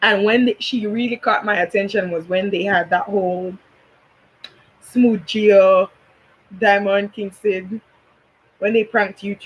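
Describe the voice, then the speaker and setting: In a Belizean accent, a woman speaks at a medium pitch and a fairly slow pace. Her intonation is fairly even, broken by long, frequent pauses. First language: Belizean Creole. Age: 20s. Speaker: YouTuber, commentary vlogger. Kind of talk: casual commentary chat.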